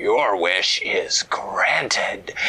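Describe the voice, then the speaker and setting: A raspy, put-on character voice. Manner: warm, magical, granting a wish.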